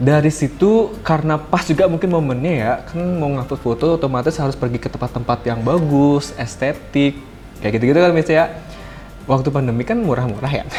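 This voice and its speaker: With music in the background, a man with a Balinese accent talks at a fairly quick pace, his fairly high pitch showing ordinary variation. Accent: Denpasar (Kodia) Balinese. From Bali, Denpasar. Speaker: content creator. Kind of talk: casual podcast interview.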